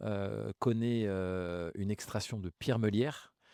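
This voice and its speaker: A man's fairly low voice with ordinary pitch variation at a very slow pace, dry and close with no echo, on a very clean recording with a silent background. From Grigny, Essonne, Paris suburbs, France. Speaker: mayor. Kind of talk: interview. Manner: hesitant, many fillers.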